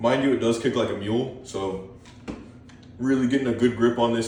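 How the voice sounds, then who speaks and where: A man's shaky voice, medium in pitch, moves at a fairly quick pace with audible room echo. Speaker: gun collection YouTuber. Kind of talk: casual show-and-tell. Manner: hesitant, many ums.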